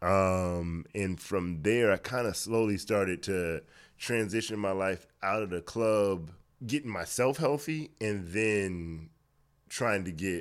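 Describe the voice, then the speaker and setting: A man with an American accent has a plain, everyday voice at a fairly low pitch. He goes at a fairly slow pace with ordinary pitch variation on a very clean recording with a silent background. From Miami, Florida. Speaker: fitness trainer. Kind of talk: casual interview.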